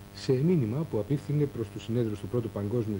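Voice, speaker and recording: Somewhat breathy, a man speaks in a dark, mellow tone at a fairly quick pace. His pitch variation is ordinary, and there is light background noise. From Greece. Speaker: news presenter. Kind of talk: 1984 TV news bulletin, formal scripted newsreading. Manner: formal, measured, steady and authoritative. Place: studio. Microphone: lapel.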